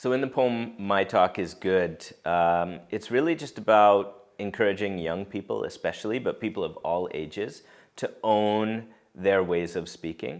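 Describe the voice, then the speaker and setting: A man with an ordinary speaking voice, fairly low in pitch with ordinary pitch variation, at a fairly slow pace over a quiet background. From Canada, Saskatoon area. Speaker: author, educator and spoken word artist. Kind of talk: reflective interview talk.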